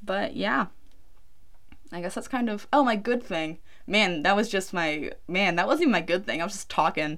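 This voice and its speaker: Medium-pitched woman's voice with lively intonation at a moderate pace. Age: 20s. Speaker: true crime podcaster. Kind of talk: casual storytelling monologue. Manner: low energy.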